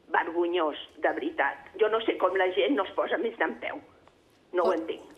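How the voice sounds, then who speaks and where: Noticeable background noise sits behind a woman talking at a fairly slow pace. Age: 60s. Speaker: caller. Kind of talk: phone-in comment. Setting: phone call. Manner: agitated.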